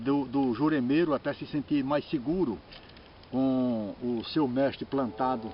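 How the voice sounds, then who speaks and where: A man's voice at a medium pitch. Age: 60s. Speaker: religious master. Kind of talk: informal talk on religious tradition. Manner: halting, with repeated words.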